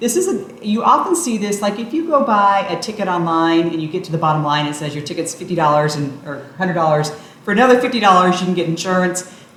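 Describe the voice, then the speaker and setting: A woman at a very fast pace with hardly any pauses and lively intonation, audible room echo and noticeable background noise. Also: medium pitch for a woman. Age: 50s. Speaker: travel vlogger. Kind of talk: explainer tutorial.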